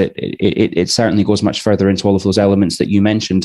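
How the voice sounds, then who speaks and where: A fairly low male voice with a Scottish accent, dark and mellow in tone, fairly even in intonation, over a quiet background. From Scotland. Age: 30s. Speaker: podcast host. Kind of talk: casual chat. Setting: live online show. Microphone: headset.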